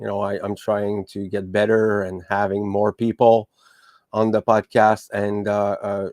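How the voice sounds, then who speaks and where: Against a quiet background with a dry, close sound and no echo, a man with a French accent speaks at a fairly slow pace in a monotone, flat way. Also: fairly low pitch for a man. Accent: French accent, still noticeable. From Quebec. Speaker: podcast host. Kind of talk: podcast monologue. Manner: halting, many fillers and restarts.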